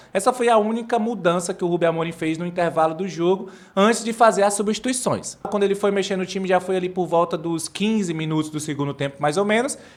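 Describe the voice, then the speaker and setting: Hardly pausing, a man rushes along at a very fast pace in a high pitch with ordinary pitch variation. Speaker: football commentator / fan channel host. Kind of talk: post-match analysis monologue. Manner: casual, hesitant fillers.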